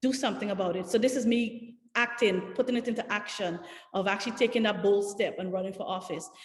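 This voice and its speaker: In a Guyanese accent, a woman talks at a very fast pace with fairly even intonation. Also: medium pitch for a woman. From Guyana. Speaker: political candidate. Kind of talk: panel discussion. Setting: video call.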